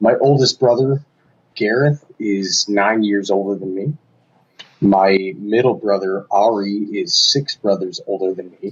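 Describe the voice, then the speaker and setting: A man's fairly low voice moves at a fairly slow pace, its pitch varying in an ordinary way. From Michigan, US Midwest. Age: 20s. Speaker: guest in recovery from addiction. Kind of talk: personal testimony in interview. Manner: hesitant with fillers.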